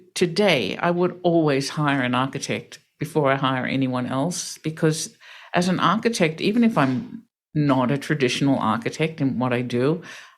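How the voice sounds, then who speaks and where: An Australian accent at a moderate pace on a very clean recording with a silent background. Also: woman. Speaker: real estate developer and crowdfunding founder. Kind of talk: interview.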